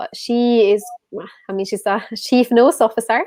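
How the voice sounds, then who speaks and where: With a Swedish accent, a woman speaks at a fairly quick pace in a fairly high voice. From Sweden. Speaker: whisky influencer and event host. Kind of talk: casual chat, live online tasting.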